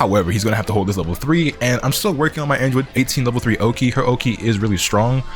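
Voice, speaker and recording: Over music in the background, a man talks at a very fast pace with hardly any pauses, his medium pitch showing ordinary variation and his loudness very even. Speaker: gaming YouTuber. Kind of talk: post-match gameplay commentary. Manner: animated.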